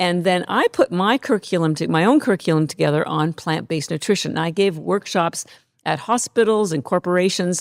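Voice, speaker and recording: A plain, everyday voice with ordinary pitch variation comes through a very clean recording with a silent background and a dry, close sound with no echo. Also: woman, fairly low pitch for a woman. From Canada. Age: 60s. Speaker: company founder. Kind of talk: podcast interview.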